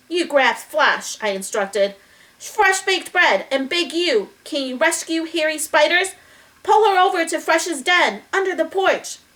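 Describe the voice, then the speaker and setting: Putting on a squeaky character voice, a woman speaks at extremely high pitch and a moderate pace. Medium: read story. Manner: calm, gentle.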